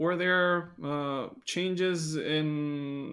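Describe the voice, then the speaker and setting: In a very clean recording with a silent background, a man with a Romanian accent speaks with fairly even intonation. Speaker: pastor and theology scholar. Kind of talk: casual interview discussion.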